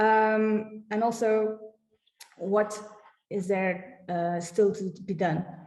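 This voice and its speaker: Audible room echo surrounds a woman speaking very slowly against a quiet background. Her pitch variation is ordinary. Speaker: heritage project staff presenting website; presenter. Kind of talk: conference presentation with screen demo. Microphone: webcam.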